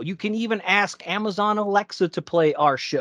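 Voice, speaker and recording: Against a quiet background, a man raises and projects his high-pitched voice in an upbeat tone with lively intonation, speaking at a fairly slow pace in a dry, close sound with no echo. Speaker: podcast host. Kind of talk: podcast intro and hosting.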